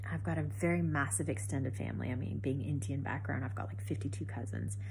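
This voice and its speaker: A woman with a very deep, low pitch talks at a very fast pace, somewhat breathy and with fairly even intonation. Room echo is audible. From Canada. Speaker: cancer survivor vlogger. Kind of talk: personal testimony. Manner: conversational, many fillers.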